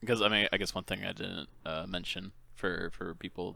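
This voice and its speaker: In a very clean recording with a silent background, a man with an American accent speaks fairly quickly, his very deep, low pitch paired with a bright, sharp tone. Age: 20s. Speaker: gaming podcast host and streamer. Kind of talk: casual chat. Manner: casual, lots of filler and swearing.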